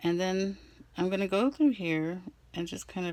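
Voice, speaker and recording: A woman speaks at a fairly slow pace. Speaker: crafting vlogger. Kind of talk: casual craft tutorial. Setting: at home desk. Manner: halting; hesitant with fillers.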